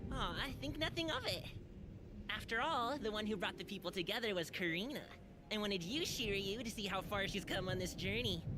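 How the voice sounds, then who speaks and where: A put-on character voice that sounds female comes through over loud background noise. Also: medium pitch for a woman, fairly quick pace. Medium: video game.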